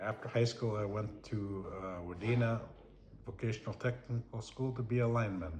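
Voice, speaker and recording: Somewhat breathy and fairly low in pitch, a man with an American accent speaks at a moderate pace with fairly even intonation. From Minnesota. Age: 60s. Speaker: retired lineman, grandfather. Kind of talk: family interview. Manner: halting.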